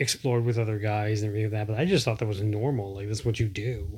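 A man talks at a fairly low pitch in a somewhat breathy voice. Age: 40s. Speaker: podcast co-host. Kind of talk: casual chat.

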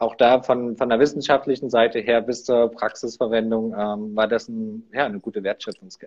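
A man speaks at a medium pitch. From eastern Germany, near Leipzig. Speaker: innovation consultant. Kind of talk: interview.

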